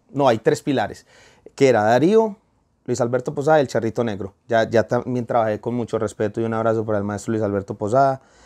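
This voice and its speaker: Fairly quick speech from a man with a dark, mellow tone against a quiet background. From Colombia. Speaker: urban music singer; guest. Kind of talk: interview. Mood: warm, animated storytelling. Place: studio. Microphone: lapel.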